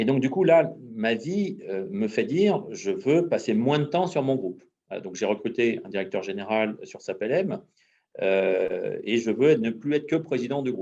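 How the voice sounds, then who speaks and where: Fairly slow and fairly high-pitched, a man's dark, mellow voice has very wide pitch swings and big swings in loudness. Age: 50s. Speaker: entrepreneur. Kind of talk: testimony.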